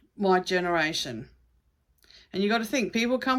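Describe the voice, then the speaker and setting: On a very clean recording with a silent background, a woman with an ordinary speaking voice talks at a medium pitch with lively intonation. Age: 60s. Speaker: psychic card reader. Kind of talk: casual spiritual talk to camera. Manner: conversational, rambling with fillers.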